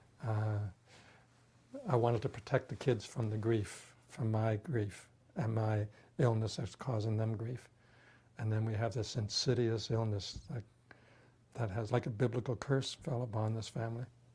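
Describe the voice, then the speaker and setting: A man with a medium pitch and a dark, mellow tone sounds somewhat breathy, keeps his intonation fairly even, and leaves long, frequent pauses. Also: moderate pace. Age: 60s. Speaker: patient with terminal illness. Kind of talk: testimony. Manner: halting.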